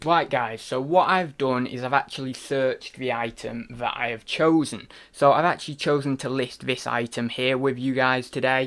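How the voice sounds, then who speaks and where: In a British accent, a man at medium pitch speaks at a moderate pace with fairly even intonation and hardly any pauses, on a very clean recording with a silent background. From UK. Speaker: online reseller. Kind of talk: tutorial. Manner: casual, with fillers.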